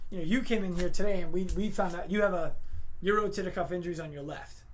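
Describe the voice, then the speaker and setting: Loud and high-pitched, a man speaks with ordinary pitch variation amid audible room echo. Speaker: chiropractor. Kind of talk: casual Q&A on Instagram live.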